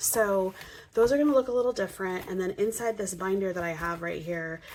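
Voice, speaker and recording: A woman talks at a fairly low pitch. Noticeable background noise runs behind her. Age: 30s. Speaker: personal finance vlogger. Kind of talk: casual budgeting tutorial. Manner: hesitant with many fillers.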